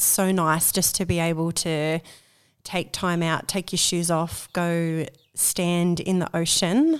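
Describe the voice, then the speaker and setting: A woman with an Australian accent talks very slowly in a fairly low, flat, monotone voice. The recording is very clean, with a silent background. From Australia, Central Coast of New South Wales. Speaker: community organiser for women. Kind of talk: casual interview. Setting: at a kitchen table at home.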